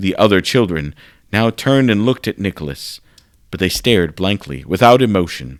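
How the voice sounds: A natural reading voice carries lively intonation.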